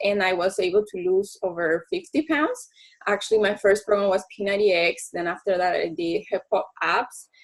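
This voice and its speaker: At a moderate pace, a woman speaks with a Spanish accent and ordinary pitch variation. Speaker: network marketing coach. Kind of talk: team call presentation. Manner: code-switching English and Spanish.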